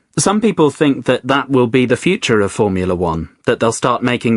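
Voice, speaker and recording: In a London accent, a man talks fairly quickly at a medium pitch with lively intonation, recorded in a dry, close sound with no echo. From Spain, then London from age 10. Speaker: guest on English-learning podcast, works in family book business. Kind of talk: casual chat. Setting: studio.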